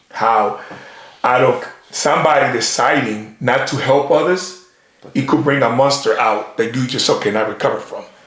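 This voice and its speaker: Speaking at a fairly high pitch with ordinary pitch variation, a man is heard with audible room echo and noticeable background noise. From Dominican Republic, raised in New York. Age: 40s. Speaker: detective, actor and author. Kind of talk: interview. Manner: fast; halting.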